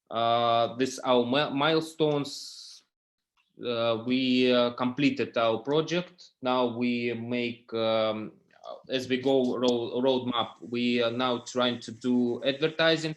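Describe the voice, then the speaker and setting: A man with a non-native accent speaks at a very slow pace. His medium-pitched voice keeps a fairly even intonation. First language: not English. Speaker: startup founder. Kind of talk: startup pitch. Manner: halting.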